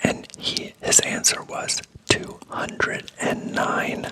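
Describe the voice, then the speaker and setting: Someone is whispering amid noticeable background noise. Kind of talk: ASMR motivational ramble. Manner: whispered.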